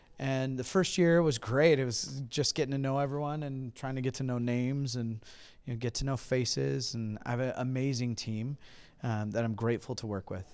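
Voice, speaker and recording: A man with an American accent speaks in an ordinary speaking voice at a medium pitch with fairly even intonation. The recording is very clean, with a silent background. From California. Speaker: pastor. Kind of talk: interview. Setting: convention.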